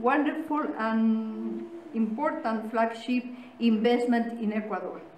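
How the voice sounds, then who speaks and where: A woman speaks at a fairly slow pace, with light background noise and audible room echo. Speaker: speaker. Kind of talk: formal speech. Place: meeting room. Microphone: podium.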